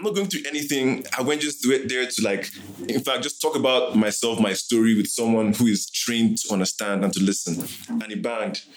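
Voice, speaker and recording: A man with lively intonation talks at a fairly quick pace amid noticeable background noise. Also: medium pitch for a man. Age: 30s. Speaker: podcast host. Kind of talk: scripted narration; casual chat.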